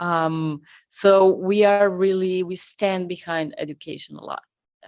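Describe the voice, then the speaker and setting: A woman with a Spanish accent speaks at a medium pitch and a fairly slow pace. Her intonation is fairly even, while her loudness swings widely. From Argentina. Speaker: conference co-founder. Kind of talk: live podcast interview. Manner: halting.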